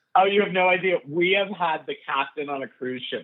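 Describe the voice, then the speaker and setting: A man with a New York accent. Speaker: stand-up comedian and comedy writer. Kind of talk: casual chat.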